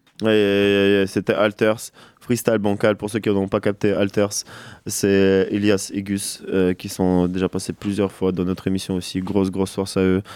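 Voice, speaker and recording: The sound is dry and close, with no echo. A man with a fairly low voice speaks at a fairly slow pace. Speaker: radio host. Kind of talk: casual chat. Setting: studio. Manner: animated.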